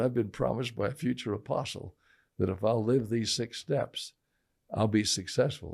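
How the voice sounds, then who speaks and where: On a very clean recording with a silent background, a man with an American accent speaks in a somewhat breathy voice of medium pitch. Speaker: businessman. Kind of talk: interview answer. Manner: casual, halting, repeats words.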